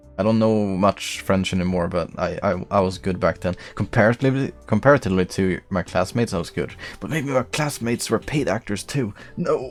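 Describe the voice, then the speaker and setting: With a non-native accent, a man speaks fairly quickly in a fairly low voice with lively intonation. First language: not English. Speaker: game streamer. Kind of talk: live stream chat while playing a visual novel. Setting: live stream. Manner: casual, joking.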